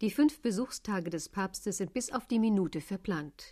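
A woman's ordinary speaking voice at a medium pitch, with lively intonation. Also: very clean recording, silent background. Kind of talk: 1980 radio news report. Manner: formal, crisp, brisk broadcast narration.

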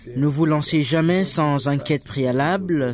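Against noticeable background noise, the speaker goes at a very slow pace. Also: man. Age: 40s. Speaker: media entrepreneur. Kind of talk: interview.

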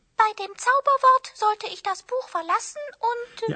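A put-on character voice, female-sounding and extremely high in pitch, at a moderate pace

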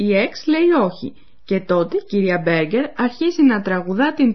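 Somewhat breathy, a woman speaks at a medium pitch with very wide pitch swings. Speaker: language course presenter. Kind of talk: radio language lesson narration. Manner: formal.

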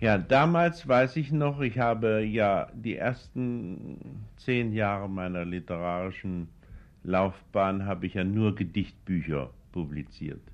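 A man's fairly low voice at a very slow pace, with lively intonation. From Thuringia, Nordhausen am Harz. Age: 60s. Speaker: poet and novelist. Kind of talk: interview. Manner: hesitant, with filler sounds.

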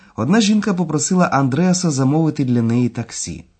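Against a quiet background, a man with a plain, everyday voice and a fairly high pitch speaks at a moderate pace with lively intonation. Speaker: language course lecturer. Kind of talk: lecture.

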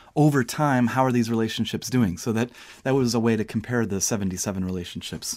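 In a very clean recording with a silent background, a man uses a normal speaking voice at medium pitch, fairly quick, with ordinary pitch variation. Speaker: podcast co-host. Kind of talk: casual chat.

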